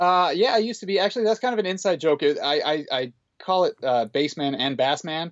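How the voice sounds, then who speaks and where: A man's high voice, fairly quick, with lively intonation. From northern Alberta, Canada. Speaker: book collector. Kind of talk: casual chat. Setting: remote call.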